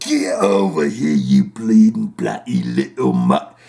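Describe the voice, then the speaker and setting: A put-on character voice in an English accent at a fairly slow pace. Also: man, fairly low pitch for a man. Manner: rough, menacing.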